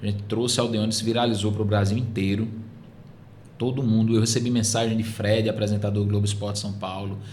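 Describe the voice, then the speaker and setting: This man's voice sits at a fairly low pitch and is somewhat breathy. Audible room echo surrounds it. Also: fairly quick pace. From Northeast Brazil, Paraíba (Surubim). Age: 30s. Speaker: sports TV presenter. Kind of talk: podcast interview. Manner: animated.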